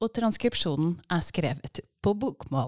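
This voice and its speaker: A woman's medium-pitched voice with lively intonation, in a dry, close sound with no echo. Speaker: podcast host interviewing guest. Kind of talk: casual interview chat. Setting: studio.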